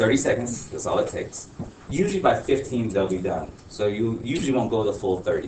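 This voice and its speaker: A man talks at a moderate pace, and room echo can be heard. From Honduras. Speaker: teacher. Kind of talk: classroom talk. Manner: casual, filler-heavy.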